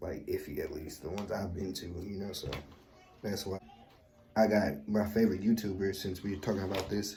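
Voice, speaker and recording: A man speaks at a fairly low pitch, his tone dark and mellow and somewhat breathy. The intonation is fairly even, and there is audible room echo. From US West Coast, East Oakland, California. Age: 20s. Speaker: YouTuber. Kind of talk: casual Q&A vlog. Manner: relaxed, conversational with fillers.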